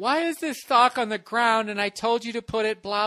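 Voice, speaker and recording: In a put-on character voice, the speaker sounds whiny, with fairly high pitch and a moderate pace. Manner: combative, nagging.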